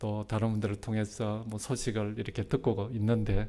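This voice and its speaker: A man's voice sits at medium pitch with a dark, mellow tone. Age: 60s. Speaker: retired pastor. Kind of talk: sermon. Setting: church. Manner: halting, many fillers.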